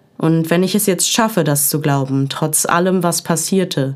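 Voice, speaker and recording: In a very clean recording with a silent background, a woman with an unremarkable speaking voice and a fairly low pitch talks at a fairly slow pace with fairly even intonation. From Essen, Ruhr area, Germany. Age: 20s. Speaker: poetry slam writer and social work student. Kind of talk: poetry slam performance.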